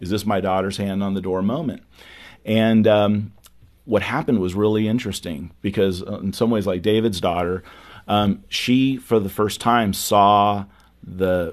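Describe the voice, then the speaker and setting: A plain, everyday voice at a fairly slow pace, with fairly even intonation and a quiet background. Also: man. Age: 50s. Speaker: youth ministry speaker and author. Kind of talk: interview.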